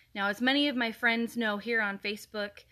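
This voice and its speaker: A loud woman at a moderate pace with ordinary pitch variation, over a quiet background. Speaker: political party activist. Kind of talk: political address to camera. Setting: social media video.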